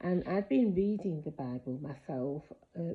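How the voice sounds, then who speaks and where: With a very deep, low pitch and vocal fry, a woman speaks at a moderate pace with lively intonation. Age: 60s. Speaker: ex-member sharing her story. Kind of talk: personal testimony to camera. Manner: hesitant, many fillers.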